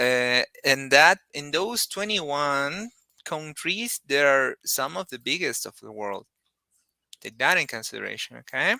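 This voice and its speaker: Speaking at a fairly slow pace with a Spanish accent, a man has a fairly high pitch, a bright, sharp tone, very wide pitch swings and big swings in loudness, heard in a dry, close sound with no echo. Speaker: Spanish teacher. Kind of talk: online lesson, bilingual explanation. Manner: hesitant, with fillers.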